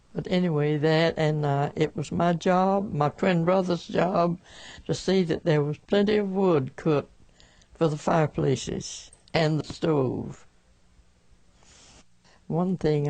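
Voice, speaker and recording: A woman's very deep, low voice with a Southern US accent, dark and mellow in tone, at a fairly slow pace with long, frequent pauses and ordinary pitch variation. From rural Alabama. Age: 80s+. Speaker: 1918 flu pandemic survivor. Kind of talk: interview answer.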